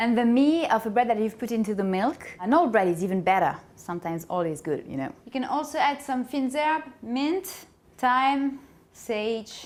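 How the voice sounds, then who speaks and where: In a French accent, a woman speaks at a high pitch with very wide pitch swings. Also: moderate pace. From France. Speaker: cooking show host. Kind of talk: tutorial. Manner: playful.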